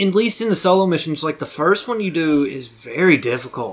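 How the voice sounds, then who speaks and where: The speaker has a plain, everyday voice. The pace is moderate and the intonation lively. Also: man. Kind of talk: casual chat. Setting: studio.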